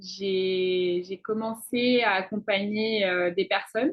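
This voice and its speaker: The speaker is a woman. Her voice has ordinary pitch variation. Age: 20s. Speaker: student and intuitive coach. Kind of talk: interview. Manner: halting, many fillers.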